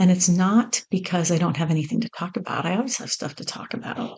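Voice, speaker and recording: Her voice is somewhat breathy, with a dark, mellow tone. This woman speaks at a medium pitch with ordinary pitch variation. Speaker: podcast host. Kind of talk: casual solo podcast monologue. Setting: home recording on laptop. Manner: unscripted, conversational. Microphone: mic plugged into laptop.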